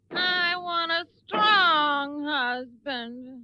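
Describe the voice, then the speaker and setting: In a cartoonish character voice, a female-sounding speaker whines at a high pitch. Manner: petulant, whiny.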